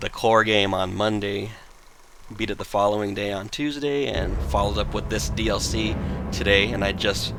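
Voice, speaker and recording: With noticeable background noise behind him, a man speaks in an animated tone at a fairly low pitch and a moderate pace, with ordinary pitch variation. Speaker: video game streamer. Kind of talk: live gameplay stream chat. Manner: loud; casual, animated.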